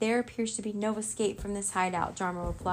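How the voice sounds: The voice reads naturally. Its intonation is fairly even.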